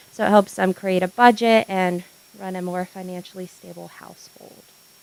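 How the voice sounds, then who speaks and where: Monotone, flat intonation with big swings in loudness over noticeable background noise. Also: woman, medium pitch for a woman, moderate pace. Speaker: counselor and program manager. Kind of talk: public presentation. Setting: meeting room with microphone.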